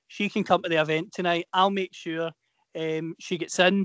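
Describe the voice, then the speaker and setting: Recorded dry and close with no echo against a quiet background, a man with a high pitch speaks in a west of Scotland accent. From Scotland, Inverclyde. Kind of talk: casual chat, anecdote.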